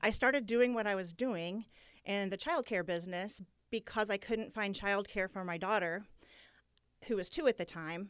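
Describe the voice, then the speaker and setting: With a Midwestern American accent, a woman speaks at a fairly quick pace in a medium pitch with ordinary pitch variation, recorded very cleanly against a silent background. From Muncie, Indiana. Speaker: daycare business owner. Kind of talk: radio interview. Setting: radio studio.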